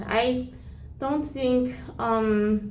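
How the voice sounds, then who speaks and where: Audible room echo surrounds a woman's voice. Noticeable background noise is also present. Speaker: volunteer. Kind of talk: difficult one-on-one conversation. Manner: halting.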